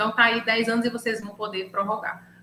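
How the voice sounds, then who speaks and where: Medium-pitched woman's voice with audible room echo. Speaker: lawyer specialising in intellectual property. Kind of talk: online lecture. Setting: video call live stream.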